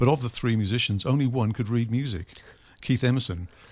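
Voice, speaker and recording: Speaking very fast with a Welsh accent, a man uses ordinary pitch variation in a very clean recording with a silent background. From Wales. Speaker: radio host. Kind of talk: radio interview. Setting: radio studio.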